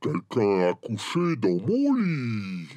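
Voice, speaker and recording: Speaking at a very slow pace, a man puts on a character voice. His pitch is medium. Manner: growling, indignant.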